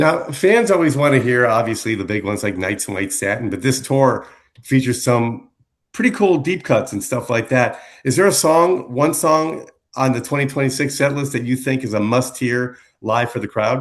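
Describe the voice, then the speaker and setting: This man has an ordinary speaking voice at a medium pitch, with ordinary pitch variation. He talks at a moderate pace against a quiet background. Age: 60s. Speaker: radio DJ. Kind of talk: interview.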